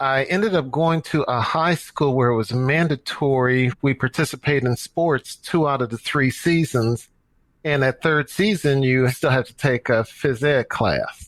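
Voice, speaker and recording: Using a plain, everyday voice, a man with an American accent talks at a fairly slow pace, his pitch fairly high with ordinary variation. The sound is dry and close, with no echo. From US Midwest, St. Louis, Missouri. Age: 60s. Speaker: running coach and nonprofit director. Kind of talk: podcast interview.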